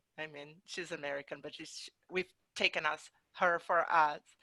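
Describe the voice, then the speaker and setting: In a Portuguese accent, a woman speaks fairly slowly with a bright, sharp tone and ordinary pitch variation, in a very clean recording with a silent background and a dry, close sound with no echo. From Brazil. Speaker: interpreter. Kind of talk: panel presentation.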